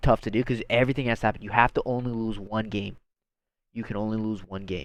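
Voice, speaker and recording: A man at medium pitch, very fast and animated, over a quiet background. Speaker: college football fan vlogger. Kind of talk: casual vlog commentary.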